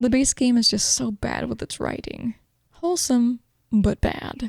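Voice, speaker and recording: There is no echo, and the sound is dry and close. The delivery moves at a moderate speed. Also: woman. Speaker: gaming podcast host. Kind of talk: game review narration. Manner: casual, joking.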